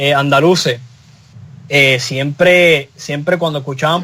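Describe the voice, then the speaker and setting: With a Puerto Rican accent, a man speaks in a bright, sharp tone with ordinary pitch variation. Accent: Puerto Rican Spanish, mistaken for Canarian. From Puerto Rico. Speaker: talk show panelist. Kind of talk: casual panel discussion. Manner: halting, many repetitions.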